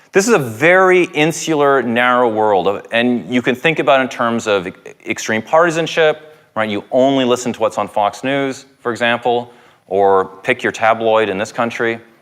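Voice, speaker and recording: A man speaks at a moderate pace with a Canadian accent. His medium-pitched voice has lively intonation. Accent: Canadian, noticeable to British listeners. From Canada. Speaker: professor. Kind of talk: public lecture.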